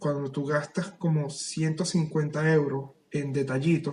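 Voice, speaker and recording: A man speaks at a fairly high pitch and a fairly slow pace. His delivery is somewhat breathy and monotone, with flat intonation. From Venezuela. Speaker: writer. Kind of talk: casual chat.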